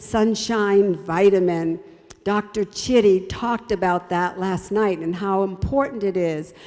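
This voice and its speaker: A woman speaks with ordinary pitch variation. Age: 70s. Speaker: health ministry speaker. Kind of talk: health talk. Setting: broadcast program. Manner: warm, exhortative.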